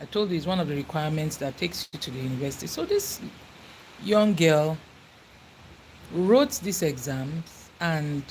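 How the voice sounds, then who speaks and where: Speaking with a Nigerian accent, a woman sounds somewhat breathy, her very deep, low pitch carried by lively intonation. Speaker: YouTuber. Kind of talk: casual livestream chat.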